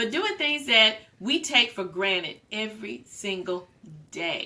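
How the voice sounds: A woman speaks slowly at a medium pitch, her tone bright and sharp. Her intonation is lively, and room echo is audible.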